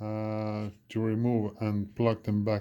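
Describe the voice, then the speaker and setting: Speaking with a non-native accent, a man goes at a very slow pace. His medium-pitched voice has a dark, mellow tone. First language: not English. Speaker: electronics repair technician. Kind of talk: tutorial. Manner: halting, many fillers.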